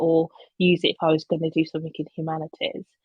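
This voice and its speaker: A woman speaks with a slight Birmingham accent. Her pitch is fairly low, and her pace is moderate. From England, Birmingham. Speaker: communications professional. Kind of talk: conference talk. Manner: hesitant, many fillers.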